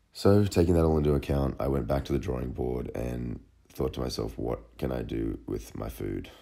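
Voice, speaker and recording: A man with an Australian accent, a very deep, low pitch and a dark, mellow tone, at a moderate pace with ordinary pitch variation. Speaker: fitness model and vlogger. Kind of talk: personal vlog narration. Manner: casual.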